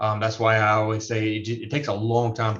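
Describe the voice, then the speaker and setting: Speaking very fast against a quiet background, a man with a medium-pitched, somewhat breathy voice gets his words out. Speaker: real estate appraisal instructor. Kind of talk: lecture.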